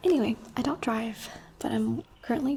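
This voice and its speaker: A soft-spoken woman, fairly high-pitched, with a dark, mellow tone and a fairly slow pace. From Abu Dhabi, UAE. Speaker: ASMR creator and streamer. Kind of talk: soft-spoken get-ready-with-me chat. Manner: casual, rambling.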